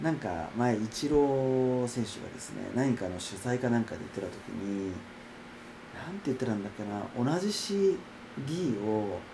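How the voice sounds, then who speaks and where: Speaking at a medium pitch with lively intonation, a man moves at a moderate pace. His loudness swings widely, and audible room echo fills the recording. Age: 30s. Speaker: podcaster and acupuncture clinic worker. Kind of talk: casual solo monologue. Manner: higher pitch than usual today; hesitant, many fillers.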